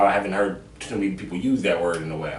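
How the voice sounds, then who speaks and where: Very fast speech comes from a man with an American accent. Room echo is audible and background noise is noticeable. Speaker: podcast host, comedian. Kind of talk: casual chat.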